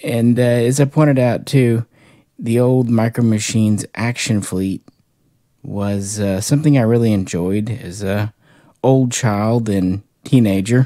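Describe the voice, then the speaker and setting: Against a quiet background, a man speaks at a fairly slow pace in a dark, mellow tone, his intonation fairly even and the sound dry with no echo. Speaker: toy collector reviewer. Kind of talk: casual review chat. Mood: relaxed, nostalgic. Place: home room. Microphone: phone near.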